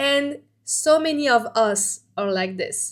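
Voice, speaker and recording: In a very clean recording with a silent background, a woman with a French accent talks with ordinary pitch variation. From France. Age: 40s. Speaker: vlogger. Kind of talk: personal vlog talk to camera. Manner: animated; halting.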